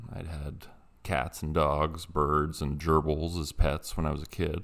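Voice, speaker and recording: A man speaks with a very deep, low pitch. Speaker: storyteller. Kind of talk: horror story narration. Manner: hesitant, casual.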